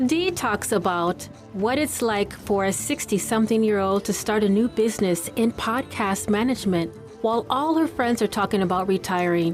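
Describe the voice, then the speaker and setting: A woman's medium-pitched voice at a moderate pace, very even in loudness and ordinary in pitch variation, with music in the background. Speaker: podcaster and voice over artist. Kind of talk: podcast host talk.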